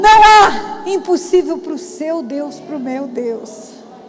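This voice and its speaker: A woman speaks at an extremely high pitch over noticeable background noise. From Brazil, Mato Grosso do Sul. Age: 60s. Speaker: pastor. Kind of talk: testimony and preaching.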